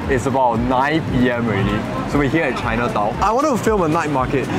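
Fairly quick speech from a man, over loud background noise. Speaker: food vlogger host. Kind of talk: casual vlog chat. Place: street.

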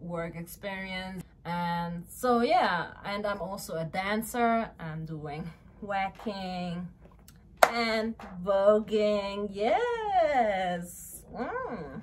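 There is light background noise as a woman speaks. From Luxembourg. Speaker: vlogger and model. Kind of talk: casual vlog talk to camera. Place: home room. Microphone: camera far.

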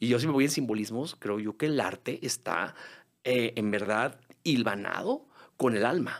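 A man with a Mexican accent speaks at a fairly slow pace with ordinary pitch variation, the background quiet. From Mexico. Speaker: musical theatre singer and actor; podcast guest, stage actor. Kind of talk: casual interview; interview answer. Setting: studio. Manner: halting, repeats words. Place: studio. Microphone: studio mic.

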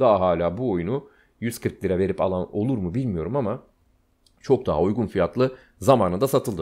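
Against a quiet background, a man speaks at a moderate pace. His fairly low voice is dark and mellow, with lively intonation. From Turkey. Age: 30s. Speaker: gaming YouTuber. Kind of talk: casual screen-share commentary. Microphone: studio mic.

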